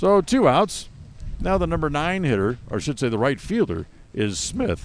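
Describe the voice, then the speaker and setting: This man's pitch sits fairly high and swings very widely. Vocal fry shows up in his voice. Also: moderate pace. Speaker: play-by-play announcer. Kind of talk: live sports commentary.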